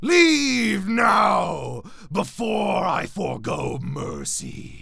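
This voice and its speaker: A man speaks in a raspy, put-on character voice. His pace is very slow. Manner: menacing.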